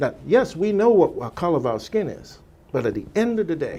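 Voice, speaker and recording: With a slight Virgin Islands accent, a man talks at a fairly quick pace. His tone is dark and mellow. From US Virgin Islands. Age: 60s. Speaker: former radio salesperson. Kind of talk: radio interview.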